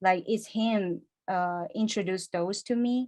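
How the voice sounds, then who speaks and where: Her pitch is medium for a woman. She talks with a non-native accent. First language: not English. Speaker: stop motion animator and podcast cohost. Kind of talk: casual interview chat. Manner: halting.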